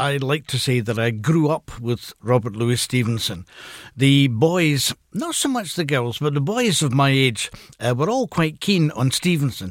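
On a very clean recording with a silent background, a man with a Glasgow accent speaks at a fairly slow pace, his pitch fairly high and his intonation lively. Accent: Scottish (Glasgow). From Scotland. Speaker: retired professor and author. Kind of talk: radio interview. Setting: radio studio.

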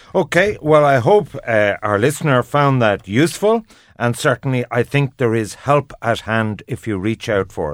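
A fairly slow, lively delivery in an Irish accent, with a dry, close sound and no echo. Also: man. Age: 50s. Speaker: radio host. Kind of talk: radio phone-in discussion.

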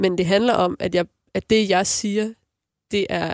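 Vocal fry runs through this fairly slow delivery, the intonation fairly even and the sound dry and close with no echo. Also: woman. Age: 30s. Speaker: singer. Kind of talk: casual chat.

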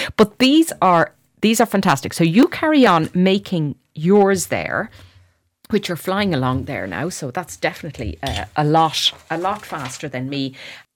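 In an Irish accent, a woman with a fairly low pitch and vocal fry talks at a moderate pace, her pitch swinging very widely and her loudness shifting a lot, on a very clean recording with a silent background. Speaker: radio host. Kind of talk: radio interview. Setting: radio studio.

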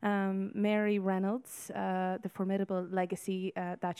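A woman speaks with a western Irish accent in a dark, mellow tone. Her pace is moderate and her intonation monotone and flat. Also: quiet background. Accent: Irish, west of Ireland. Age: 30s. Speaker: former pageant winner, aspiring politician. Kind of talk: radio panel discussion. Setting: outside broadcast at a hotel. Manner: hesitant, many fillers.

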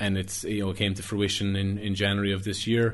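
Speaking at a fairly quick pace, this man has a fairly low pitch. He talks with a West Cork accent. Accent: West Cork Irish. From West Cork, Ireland (Skibbereen). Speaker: financial planner. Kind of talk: interview.

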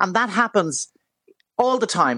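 A woman speaks with a Dublin accent. Her intonation is lively. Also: dry, close sound with no echo, quiet background. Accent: Dublin Irish. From Dublin, Ireland. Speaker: commentator guest. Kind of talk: radio interview chat.

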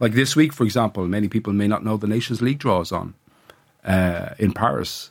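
A man with an Irish accent at a fairly quick pace, fairly low in pitch, with ordinary pitch variation. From Ireland. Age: 50s. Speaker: sports journalist. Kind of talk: radio interview. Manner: halting, many repetitions.

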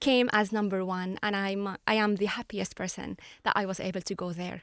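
A woman speaks with an Arabic accent in a dry, close recording with no echo, very clean and set against a silent background. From Syria, Latakia. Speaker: journalist. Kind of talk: interview.

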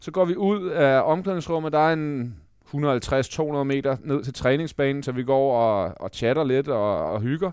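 A man speaks at a fairly slow pace in a plain, everyday voice with fairly high pitch and ordinary pitch variation. The background is quiet. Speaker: podcast co-host, former footballer. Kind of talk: casual chat.

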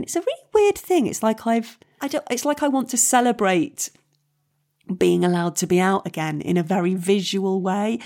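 A woman at medium pitch and moderate pace, an unremarkable speaking voice, in a very clean recording with a silent background. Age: 40s. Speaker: comedian and actress. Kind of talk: casual chat.

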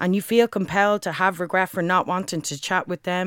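In a very clean recording with a silent background, a woman speaks at a medium pitch with a Dublin accent. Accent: Dublin Irish. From Dublin, Ireland. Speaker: spoken word poet. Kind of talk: spoken word performance.

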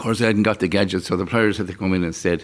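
With a west of Ireland accent, a man speaks in a fairly low pitch with fairly even intonation. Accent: west of Ireland Irish. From Ireland, County Galway. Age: 60s. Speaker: fast food business owner. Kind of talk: interview. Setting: on location at a motorway plaza.

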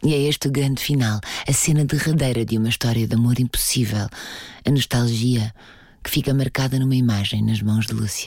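With a European Portuguese accent, a woman talks at a fairly quick pace in a very deep, low pitch and fairly even intonation. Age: 40s. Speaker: podcast host and narrator. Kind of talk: scripted narration.

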